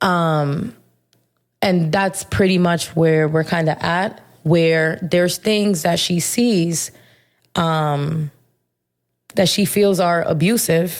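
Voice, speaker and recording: A voice delivered at a very slow pace, with very even loudness, ordinary pitch variation, and long, frequent pauses. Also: woman, fairly low pitch for a woman. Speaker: podcast host. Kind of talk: casual monologue. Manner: animated.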